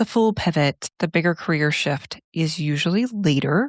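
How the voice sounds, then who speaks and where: A woman speaks with a fairly low pitch, lively intonation and vocal fry. The recording is very clean and dry, close with no echo, over a silent background. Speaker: psychologist and podcast host. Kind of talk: solo podcast monologue. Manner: casual, conversational.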